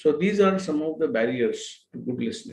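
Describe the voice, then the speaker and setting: A man with a Telugu accent at a fairly quick pace. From India, Telugu-speaking region. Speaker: expert lecturer. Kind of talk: lecture. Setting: live online session. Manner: halting, many fillers.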